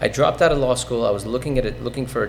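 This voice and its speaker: Audible room echo on a man's speech. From Iran (Tehran), fled as child. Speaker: real estate investor, podcast guest. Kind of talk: interview, personal story. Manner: frequent fillers (um, uh), self-corrections.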